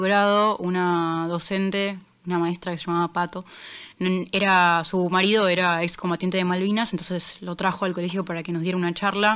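In a very clean recording with a silent background, a woman speaks in a monotone with flat intonation. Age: 20s. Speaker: international news columnist. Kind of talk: casual interview chat. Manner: halting, many fillers.

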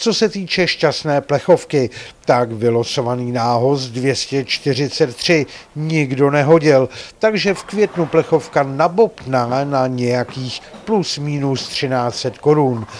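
A man speaks with ordinary pitch variation. His pitch is medium.

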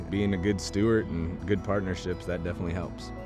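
Over clear music in the background, a man with a very deep, low pitch talks at a very fast pace, the sound dry with no echo. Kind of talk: interview answer. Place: waterside. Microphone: lapel.

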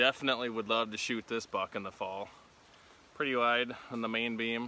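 Light background noise sits behind a man whose bright, sharp tone comes at a moderate pace. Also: dry sound with no echo. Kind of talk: casual vlog chat. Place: open country. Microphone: phone near.

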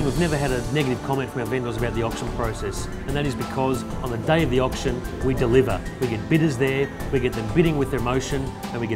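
Someone talks at a very fast pace while music plays clearly in the background. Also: man. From Australia. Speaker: real estate agent and auctioneer. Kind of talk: corporate agent profile talk to camera. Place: office.

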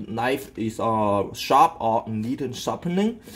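A man speaks fairly slowly with lively intonation. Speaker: home cook demonstrating. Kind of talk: tutorial. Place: kitchen. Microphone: phone near.

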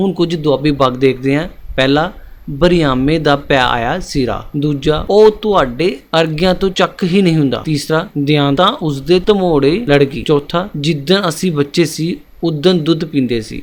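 A man is speaking in an ordinary speaking voice. His pitch varies in an ordinary way. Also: fairly high pitch for a man. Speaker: exam-prep teacher. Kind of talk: educational lecture.

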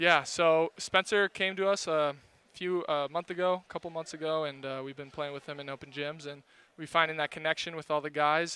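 At a fairly quick pace, a man talks in a bright, sharp, fairly high voice. His intonation is fairly even, and the sound is dry with no echo. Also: big swings in loudness. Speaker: volleyball player, interviewed. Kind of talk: post-match interview. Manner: brief, casual, relaxed. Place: hall. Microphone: headset.

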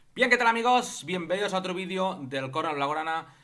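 Bright and sharp in tone, the voice belongs to a man. His pitch moves in very wide swings. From Barcelona, Spain; Spain. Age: 30s. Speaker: football YouTuber. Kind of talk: casual vlog commentary. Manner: animated. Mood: disapproving, mocking. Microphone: studio mic.

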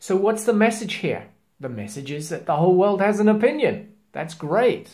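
At a moderate pace, a man speaks in a high voice with lively intonation and a slightly mellow tone.

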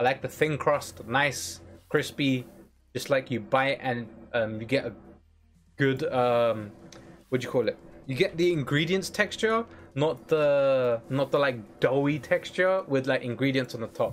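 The speech moves at a fairly slow pace, broken by long, frequent pauses. Faint music plays in the background. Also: man, fairly high pitch for a man, ordinary pitch variation. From UK. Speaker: gaming streamer. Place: home room.

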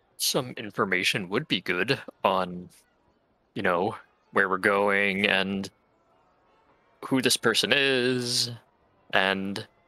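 A man puts on a character voice at a fairly low pitch. He speaks very slowly with long, frequent pauses. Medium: actual play. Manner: warm, chatty, easygoing.

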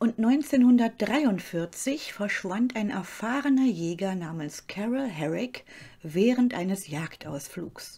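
This woman speaks at a very slow pace with a fairly high pitch and very wide pitch swings. Her tone is dark, mellow, dramatic and serious, and somewhat breathy. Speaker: true-crime channel host. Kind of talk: true-crime narration. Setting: studio, solo voiceover. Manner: calm, measured storytelling pace; slightly dramatic, suspenseful and serious tone.

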